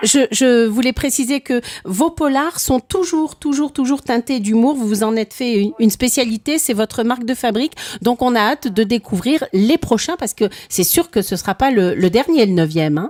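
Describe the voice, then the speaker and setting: Her pitch high and her intonation lively, a woman talks at a moderate pace in a dry, close sound with no echo. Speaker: radio host. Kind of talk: interview.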